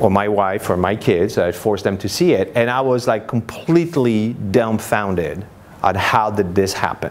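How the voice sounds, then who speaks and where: A man with a French accent and fairly low pitch, moderate pace, ordinary pitch variation, audible room echo and noticeable background noise. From France, Paris. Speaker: marketing speaker. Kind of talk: conference presentation. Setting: stage with audience. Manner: conversational, many fillers.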